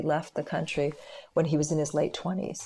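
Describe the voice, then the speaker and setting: In a Canadian accent, a woman speaks with a very deep, low pitch, a dark, mellow tone, vocal fry and fairly even intonation, on a very clean recording with a silent background. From Canada. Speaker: lawyer and political analyst. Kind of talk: interview.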